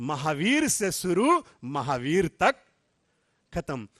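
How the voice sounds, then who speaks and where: Heard in a dry, close sound with no echo, a man's voice swings very widely in pitch. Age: 80s+. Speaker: spiritual speaker. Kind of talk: sermon. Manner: animated.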